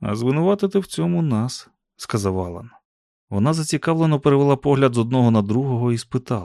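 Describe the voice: Plain reading aloud with lively intonation, over a quiet background.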